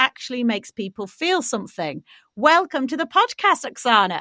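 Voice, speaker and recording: A woman's high-pitched voice in a British accent, bright and sharp in tone, at a moderate pace, on a very clean recording with a silent background and a dry, close sound without echo. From Britain. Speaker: podcast host. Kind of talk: scripted intro; interview.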